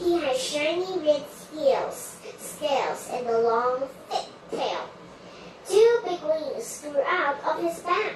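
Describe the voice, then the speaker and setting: A woman's high voice at a fairly slow pace, with very wide pitch swings, a slight echo and clear background noise. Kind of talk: read-aloud storybook. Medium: read story. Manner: halting, self-correcting.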